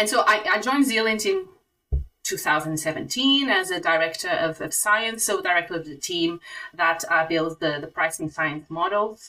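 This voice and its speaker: This woman speaks at a moderate pace with a Portuguese accent. Her medium-pitched voice has lively intonation. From Portugal. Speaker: software executive. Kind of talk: interview.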